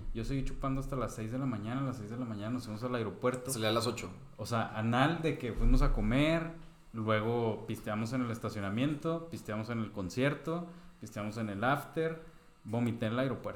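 Over noticeable background noise and audible room echo, a man with a Mexican accent talks at a fairly quick pace, using medium pitch and ordinary pitch variation. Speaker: podcast co-host. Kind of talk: casual chat.

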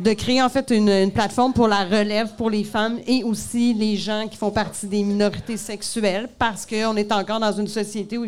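A woman with a Quebec accent, fairly high-pitched, at a moderate pace. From Montreal, Quebec. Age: 40s. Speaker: comedian. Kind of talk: live podcast interview. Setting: bar stage with audience.

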